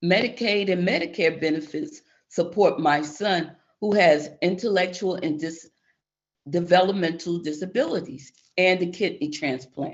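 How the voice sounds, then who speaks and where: At a moderate pace, a woman with an unremarkable speaking voice talks in a fairly low pitch with ordinary pitch variation. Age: 60s. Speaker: public witness. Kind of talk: testimony. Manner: reading prepared statement.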